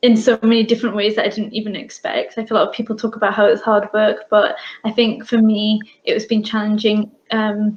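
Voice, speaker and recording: A woman with a British accent speaks at a fairly quick pace in a fairly high, somewhat breathy voice, her intonation flat and monotone. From UK, Bangladeshi family. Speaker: business owner. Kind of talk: interview.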